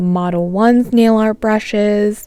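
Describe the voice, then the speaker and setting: A woman speaks with a dark, mellow tone. Her intonation is fairly even. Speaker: nail content creator. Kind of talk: room tour vlog.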